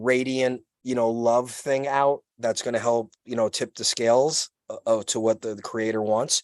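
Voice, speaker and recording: A man with a Brooklyn accent talks at a medium pitch and moderate pace, the sound dry and close with no echo. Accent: New York (Brooklyn). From New York City (Brooklyn). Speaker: podcast guest, activist. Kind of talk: casual chat. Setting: outdoors, video call. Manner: loud; animated.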